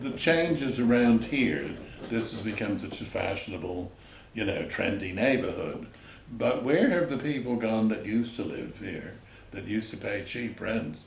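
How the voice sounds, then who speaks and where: With an American accent, a man talks at medium pitch with lively intonation. Noticeable background noise and audible room echo surround him. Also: moderate pace. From New York City, the Bronx. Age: 90s. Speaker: retired entrepreneur and artist, local resident. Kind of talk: oral history interview.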